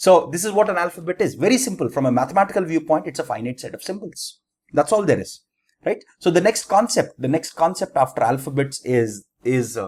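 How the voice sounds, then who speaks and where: A man with an Indian accent talks at a fairly quick pace. His high pitch swings very widely. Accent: Indian English (Telugu). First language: Telugu. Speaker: teacher. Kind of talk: lecture. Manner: halting, self-correcting.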